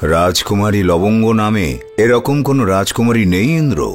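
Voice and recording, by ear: A cartoonish character voice moves at a moderate pace over clear background music. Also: man, fairly low pitch for a man.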